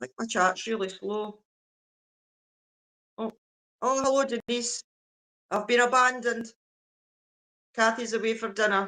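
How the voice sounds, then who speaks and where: A woman with a Scottish accent speaks in a bright, sharp tone with fairly even intonation and long, frequent pauses. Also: fairly high pitch for a woman. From Scotland. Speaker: livestreamer. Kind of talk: casual chat. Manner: slow.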